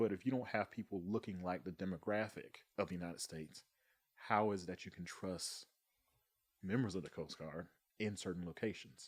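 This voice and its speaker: A man with a Southern US accent talks at a very deep, low pitch. His intonation is fairly even, and his pauses are long and frequent. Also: fairly quick pace. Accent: Southern US (Georgia). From US South, Thomasville, Georgia. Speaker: Coast Guard member. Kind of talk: casual chat.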